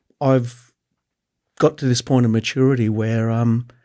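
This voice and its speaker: On a very clean recording with a silent background, a man with an Australian accent speaks at medium pitch in a dark, mellow tone with ordinary pitch variation. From Canberra, Australia. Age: 50s. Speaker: skate photographer. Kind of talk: casual chat.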